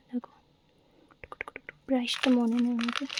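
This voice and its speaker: The speaker is soft-spoken. Background noise is noticeable. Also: woman, dry, close sound with no echo. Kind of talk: casual talk to camera. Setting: lo-fi ASMR recording.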